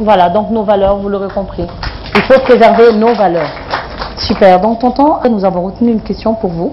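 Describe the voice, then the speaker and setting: A woman's medium-pitched voice at a moderate pace, with ordinary pitch variation, long and frequent pauses, and noticeable background noise. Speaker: TV talk show host. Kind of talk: TV talk show interview. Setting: TV studio with live audience. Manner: animated.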